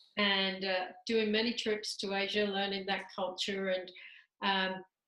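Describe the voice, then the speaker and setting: With a British accent, a woman speaks at a medium pitch in a bright, sharp tone. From England, London. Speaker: talent management business leader. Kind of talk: interview.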